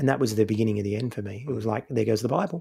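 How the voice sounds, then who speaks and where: A somewhat breathy man's voice with an Australian accent, medium in pitch, with a dark, mellow tone. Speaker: podcaster, former Pentecostal pastor-in-training. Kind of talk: casual chat.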